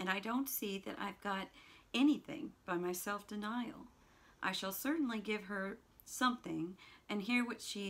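The reading aloud is plain, and the pitch varies in an ordinary way.

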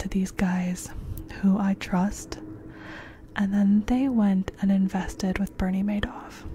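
Soft-spoken and monotone, a woman talks at a very slow pace in a dry sound with no echo, with light background noise. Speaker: storyteller. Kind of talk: explanatory commentary about a financial fraud. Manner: soft-spoken, hushed close-mic voice. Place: home room. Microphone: studio mic.

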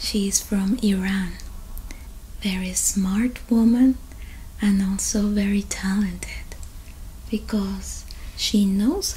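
A woman speaks at a very slow pace. Light background noise sits behind her. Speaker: ASMR creator. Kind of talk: soft-spoken show-and-tell vlog. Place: home room. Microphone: earbuds.

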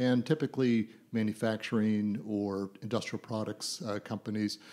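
The recording is very clean with a silent background, as a man in a normal speaking voice talks at a moderate pace with a fairly low pitch and fairly even intonation. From Canada (born in Ireland, raised in Toronto, Calgary, Vancouver). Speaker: business coach and author. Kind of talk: interview.

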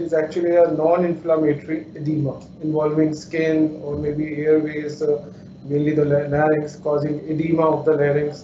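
Audible room echo and light background noise accompany a man talking at a moderate pace. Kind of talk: lecture.

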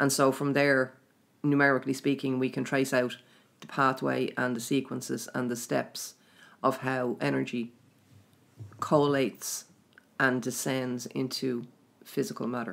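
Vocal fry and fairly even intonation in an Irish accent, a moderate pace broken by long, frequent pauses, in a very clean recording with a silent background. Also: woman, very deep, low pitch for a woman. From Ireland. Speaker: spiritual teacher running a mystery school. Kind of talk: casual interview chat about spirituality. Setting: recorded in Trim, Ireland.

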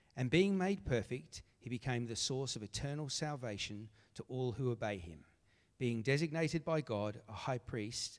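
A man with an Australian accent talks at a moderate pace and medium pitch, his intonation lively and his loudness swinging widely. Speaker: scripture reader. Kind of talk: reading aloud. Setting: church.

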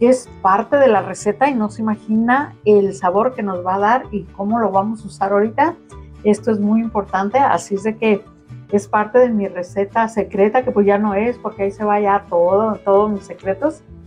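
A woman at a moderate pace with ordinary pitch variation, faint music in the background. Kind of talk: cooking tutorial. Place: kitchen.

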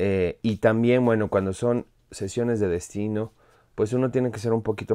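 On a very clean recording with a silent background, a man speaks at a moderate pace. His pitch is fairly low and his tone dark and mellow.

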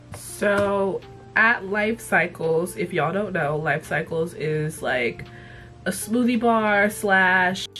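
Music plays behind a woman whose voice is medium in pitch. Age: 20s. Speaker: TV and cartoon reviewer. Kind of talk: casual talk to camera. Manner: casual, profane.

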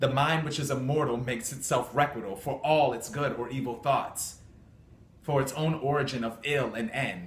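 The voice has an intense tone at a moderate pace, with audible room echo and light background noise. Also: man. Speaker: amateur actor. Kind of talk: dramatic classical monologue, defiant theatrical soliloquy of verse. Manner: intense, declamatory, forceful and defiant. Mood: defiant. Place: home room. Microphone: phone near.

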